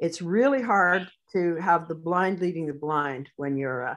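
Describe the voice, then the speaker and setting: A woman with a Canadian accent has a plain, everyday voice, a fairly low pitch and ordinary pitch variation. She speaks at a fairly slow pace against a quiet background. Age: 60s. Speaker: sheepdog handler and trainer. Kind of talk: interview.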